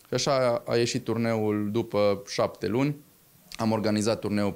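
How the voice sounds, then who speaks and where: He talks at a fairly slow pace in a medium pitch. His intonation stays fairly even. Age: 20s. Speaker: hotel owner and sports event organizer. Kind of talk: interview. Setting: hotel. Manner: halting. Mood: calm, proud. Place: office. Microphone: handheld.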